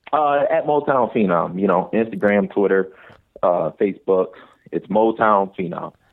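A man with a Detroit accent, fairly low in pitch, at a fairly slow pace with lively intonation. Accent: Detroit urban American. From Detroit, Michigan. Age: 20s. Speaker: MMA fighter. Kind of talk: casual chat.

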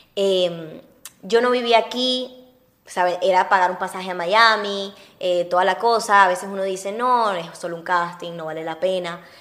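A woman with a medium-pitched voice talks at a moderate pace with fairly even intonation and big swings in loudness, over noticeable background noise. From Venezuela (Uruguayan-born). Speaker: actress. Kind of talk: casual chat.

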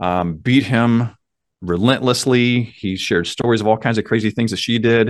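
With an American accent and an ordinary speaking voice, a man talks at a moderate pace and medium pitch with fairly even intonation against a quiet background. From US small town. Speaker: mindset coach. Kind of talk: podcast interview.

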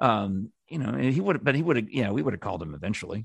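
In an American accent, the speaker races along at a very fast pace with a quiet background. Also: man. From New York. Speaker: former radio producer. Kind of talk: casual chat.

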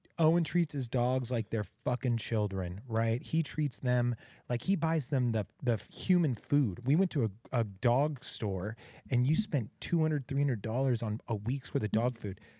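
With an American accent, a man speaks in a dark, mellow tone that is somewhat breathy, his intonation lively. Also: medium pitch for a man, moderate pace, very clean recording, silent background. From Texas. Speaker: podcast host in recovery.

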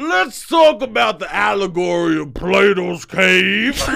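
A man shouting in a put-on character voice with a Southern accent, at a fairly slow pace, with light background noise. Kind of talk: professorial, lecturing.

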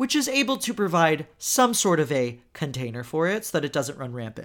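Very wide pitch swings in an animated, bright, sharp tone at a fairly slow pace. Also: man. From Texas, Houston. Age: 30s. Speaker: podcast host and tarot reader. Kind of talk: casual chat.

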